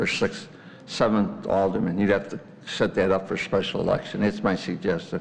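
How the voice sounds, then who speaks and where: Some room echo can be heard as the words come at a moderate speed. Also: man. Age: 80s+. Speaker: resident, taxpayer. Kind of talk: public comment at council meeting. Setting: village board meeting.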